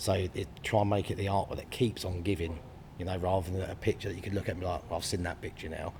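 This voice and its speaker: A man's very deep, low voice in a southern English accent, somewhat breathy, at a very fast pace with fairly even intonation. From southern England, Brighton. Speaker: artist. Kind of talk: interview. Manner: hesitant, many fillers.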